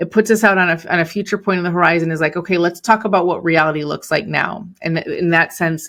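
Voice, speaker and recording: A very fast pace in a Chicago accent, with hardly any pauses and fairly even intonation. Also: woman. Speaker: entrepreneur and business coach. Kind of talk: podcast interview.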